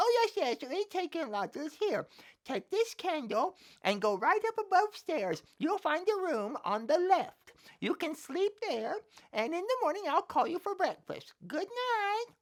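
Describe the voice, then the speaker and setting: An extremely high, put-on character voice moves at a moderate pace with very wide pitch swings. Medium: read story. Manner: fussy, flustered.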